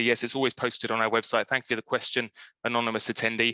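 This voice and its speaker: A man speaks at medium pitch in a bright, sharp tone. The sound is dry and close with no echo, and the background is quiet. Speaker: standards director presenting a webinar. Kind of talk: webinar presentation with Q&A. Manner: fast.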